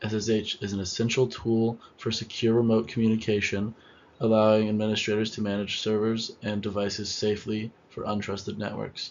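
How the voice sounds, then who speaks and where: A man speaks quietly, at a fairly low pitch and a fairly quick pace. His intonation stays monotone and flat. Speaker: student presenter. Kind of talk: class presentation.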